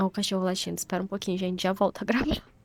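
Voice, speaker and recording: A woman speaks in a dry, close recording with no echo. There is noticeable background noise. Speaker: vlogger, content creator. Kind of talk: casual vlog narration. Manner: slow and calm when narrating.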